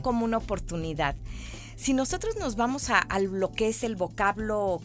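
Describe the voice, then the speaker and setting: This woman talks fairly slowly while music plays in the background. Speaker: thanatologist. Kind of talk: interview answer.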